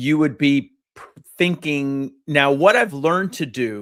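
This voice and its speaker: Recorded very cleanly against a silent background, a man with a plain, everyday voice speaks at a fairly slow pace, his fairly high pitch showing ordinary variation. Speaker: psychologist podcast host. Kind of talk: casual chat.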